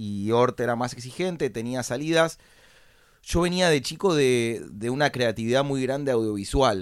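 A medium-pitched man with a Rioplatense accent, moderate pace and lively intonation. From Argentina, Buenos Aires. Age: 30s. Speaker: entrepreneur. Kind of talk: interview.

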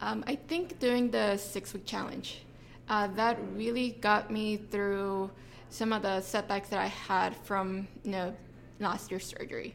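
A woman speaks at a medium pitch with ordinary pitch variation. It is a plain, everyday voice. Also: fairly slow pace. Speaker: gym member, runner. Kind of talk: casual interview.

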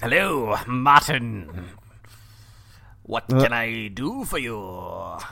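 A man in a put-on character voice at a medium pitch, very slow, with long, frequent pauses

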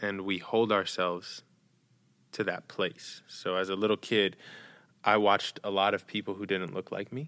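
This man speaks with an American accent and a bright, sharp tone. His intonation is monotone and flat, on a very clean recording with a silent background. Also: fairly low pitch for a man, moderate pace. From New York, Dominican family. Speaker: storyteller, actor and speaker. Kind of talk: casual interview chat.

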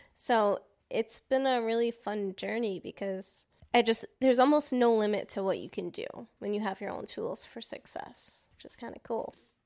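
A woman with an American accent has a normal speaking voice at a fairly high pitch, with big swings in loudness. The recording is very clean, with a silent background. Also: fairly even intonation, moderate pace. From New York. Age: 20s. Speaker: photographer and videographer. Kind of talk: casual chat.

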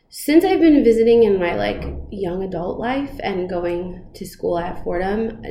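A woman with an American accent speaks at a moderate pace with lively intonation. Audible room echo and noticeable background noise are present. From New York, the Bronx and southern Westchester. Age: 30s. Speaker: school principal. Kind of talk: interview. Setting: principal's office.

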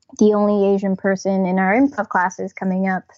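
A woman speaks at a moderate pace with an American accent. Hers is an ordinary speaking voice. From New Jersey, near New York City. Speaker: comedian and writer. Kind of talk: casual interview.

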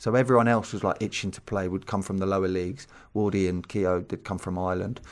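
Speaking very fast in a southern English accent, a man with a very deep, low pitch keeps his intonation fairly even, recorded very cleanly over a silent background. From southern England. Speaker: former footballer and coach. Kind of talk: interview. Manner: casual.

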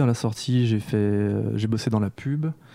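At a moderate pace, a man of medium pitch talks in a dark, mellow tone with fairly even intonation. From France, Lyon. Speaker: comic book author and animator. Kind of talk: casual chat.

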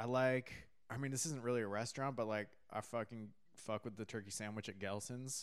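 Here a man speaks with a Californian accent at a medium pitch. His pace is fairly quick and his intonation fairly even. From California, San Diego and Catalina Island. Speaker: stand-up comedian. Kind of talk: casual chat.

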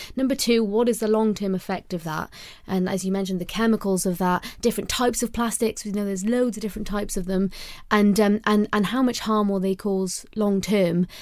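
Over a silent background in a very clean recording, a woman speaks with a Welsh accent. Her pitch is medium, her pace fairly quick, and her intonation fairly even. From Wales. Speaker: podcast co-host and conservation campaigner. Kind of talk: casual chat.

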